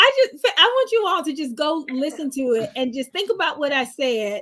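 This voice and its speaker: A woman with an American accent talks fairly slowly on a very clean recording where the background is silent. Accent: heavy Southern US, stronger when passionate. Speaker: podcast co-host. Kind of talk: casual chat. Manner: animated when passionate.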